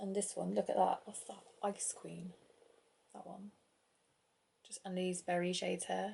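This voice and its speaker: In a British accent, the speaker is soft-spoken, moving at a fairly slow pace with long, frequent pauses. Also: woman. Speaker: beauty vlogger. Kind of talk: product review vlog. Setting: at home, kids asleep in another room. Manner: casual, meandering.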